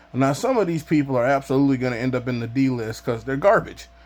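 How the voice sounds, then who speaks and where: A plain, everyday voice from a man, medium in pitch, with ordinary pitch variation. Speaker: YouTuber. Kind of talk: casual vlog monologue.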